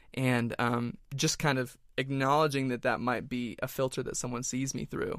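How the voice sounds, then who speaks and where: A man's medium-pitched voice at a moderate pace, flat and monotone, with hardly any pauses, on a very clean recording with a silent background. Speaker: roundtable participant. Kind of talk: casual roundtable chat.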